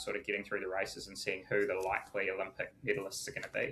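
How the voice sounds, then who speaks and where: This man has a New Zealand accent. He talks at a very fast pace. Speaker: triathlon podcast co-host. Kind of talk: casual chat.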